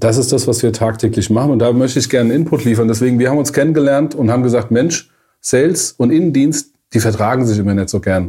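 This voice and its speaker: A man's very fast, somewhat breathy voice of medium pitch, dark and mellow in tone, with ordinary pitch variation and very even loudness. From Germany, Frankfurt area. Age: 40s. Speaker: management consultant. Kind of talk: casual podcast chat.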